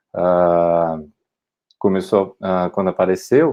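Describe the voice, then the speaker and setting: A man with a Brazilian accent. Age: 30s. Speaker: political candidate. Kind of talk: candidate self-introduction. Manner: halting, many repetitions and fillers.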